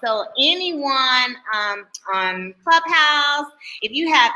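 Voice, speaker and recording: A woman with an American accent uses a raised, projected voice at a high pitch. Her tone is bright and sharp, with very wide pitch swings. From New Jersey. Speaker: talk show host. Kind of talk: live interview chat. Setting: live stream.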